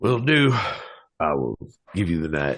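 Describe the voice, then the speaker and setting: Putting on a raspy character voice, a man speaks at a moderate pace with a very deep, low pitch and very wide pitch swings. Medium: actual play. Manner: hesitant, folksy.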